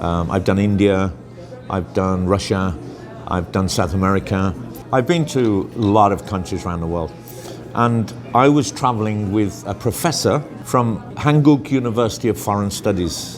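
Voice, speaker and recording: With music in the background and audible room echo, a man speaks at a fairly low pitch and moderate pace with lively intonation. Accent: Birmingham. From England, Birmingham. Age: 60s. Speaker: interviewee, expat traveller. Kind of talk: casual interview.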